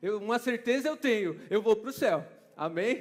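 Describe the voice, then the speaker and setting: A man with a high pitch speaks in a São Paulo accent at a moderate pace, his tone animated and his intonation lively. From Brazil, São Paulo. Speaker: preacher. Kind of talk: sermon. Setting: church conference stage with audience.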